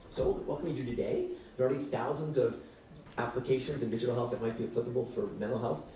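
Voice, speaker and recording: Amid audible room echo and noticeable background noise, a man talks at a very fast pace with fairly even intonation. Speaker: physician and health tech founder. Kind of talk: keynote talk. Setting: stage with audience.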